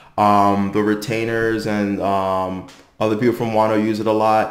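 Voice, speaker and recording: The man speaks at a moderate pace. An audible room echo is present, and the background is quiet. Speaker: anime commentator. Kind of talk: commentary. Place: home room.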